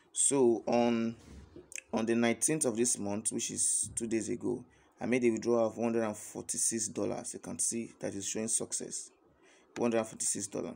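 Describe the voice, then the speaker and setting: A man's monotone, flat intonation at a very slow pace. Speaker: online earning promoter. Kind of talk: sales pitch. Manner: halting. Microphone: phone near.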